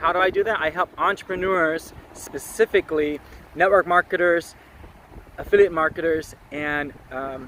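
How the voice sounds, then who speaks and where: Loud and high-pitched, a man speaks at a moderate pace over noticeable background noise. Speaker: online marketing coach. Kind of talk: live stream talk. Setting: outdoors at the beach. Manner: animated.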